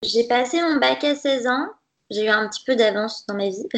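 A fairly high-pitched woman at a moderate pace. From western France, Nantes. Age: 20s. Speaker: dietitian. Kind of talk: interview conversation.

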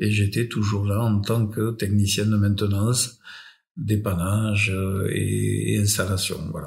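A somewhat breathy man with fairly low pitch and monotone, flat intonation, at a very slow pace. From France. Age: 60s. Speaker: electrician. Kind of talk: casual chat. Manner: halting.

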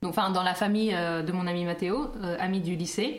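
A woman with a slight English accent speaks in a room with audible echo. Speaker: podcast co-host. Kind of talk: casual chat.

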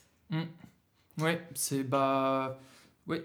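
A man's monotone, flat delivery at a very slow pace, with audible room echo. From Germany, Berlin. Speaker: rapper and singer. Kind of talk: casual interview. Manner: halting, hesitant.

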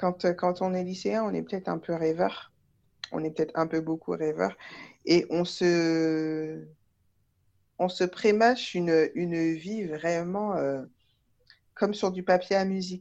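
Very slow speech with long, frequent pauses over a quiet background. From France. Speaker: underwater archaeologist. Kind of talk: casual interview. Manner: halting, many fillers.

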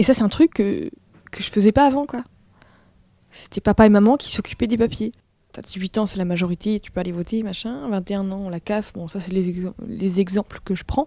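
With a dry, close sound and no echo, a woman speaks at a moderate pace in a dark, mellow tone, her pitch medium with ordinary variation and her loudness swinging widely. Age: 20s. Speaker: audiovisual worker. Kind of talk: casual chat. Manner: halting.

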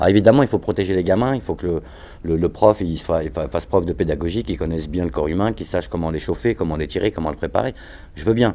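A man's very deep, low voice with vocal fry, dark and mellow in tone, lively intonation, and a very fast pace. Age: 50s. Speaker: hip-hop choreographer and dancer. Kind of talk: interview.

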